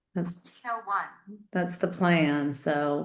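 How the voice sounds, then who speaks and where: A woman speaks at a moderate pace in a medium pitch, with ordinary pitch variation and audible room echo. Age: 50s. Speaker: nurse and interviewer. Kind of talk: interview chat.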